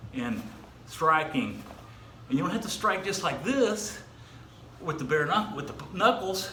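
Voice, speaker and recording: Projecting his high voice over noticeable background noise and audible room echo, a man speaks with lively intonation at a fairly slow pace, with long, frequent pauses. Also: big swings in loudness. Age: 60s. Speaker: martial arts instructor. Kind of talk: exercise tutorial. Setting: outdoors. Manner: halting, many fillers.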